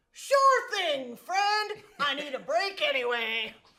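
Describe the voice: An extremely high, put-on character voice swings very widely in pitch. It moves at a fairly slow pace.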